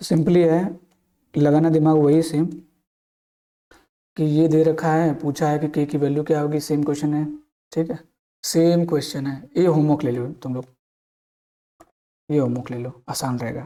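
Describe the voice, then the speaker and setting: Dark, mellow tone from a man at a fairly high pitch, moderate pace and fairly even intonation, with long, frequent pauses. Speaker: maths teacher. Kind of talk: lecture. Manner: casual, repetitive.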